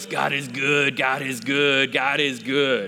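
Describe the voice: This is a husky, put-on character voice. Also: man, medium pitch for a man, fairly slow pace.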